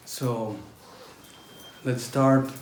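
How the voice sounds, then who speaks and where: Over noticeable background noise and audible room echo, a man at medium pitch talks at a very slow pace. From northern Italy, near Austria (German-speaking). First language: German. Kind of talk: testimony. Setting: talk to a pilgrim group. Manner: halting, with frequent fillers.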